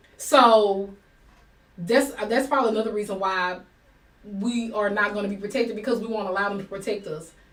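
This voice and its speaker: At a fairly quick pace, a woman with a medium pitch speaks in fairly even intonation, with audible room echo. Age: 40s. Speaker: livestream talk show host. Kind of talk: live talk show discussion. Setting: livestream.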